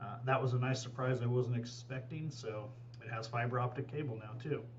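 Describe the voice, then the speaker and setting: At a fairly quick pace, the voice holds a monotone, flat intonation amid audible room echo and noticeable background noise. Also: man, medium pitch for a man. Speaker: real estate agent. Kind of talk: property video tour narration. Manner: casual, many filler words; fast.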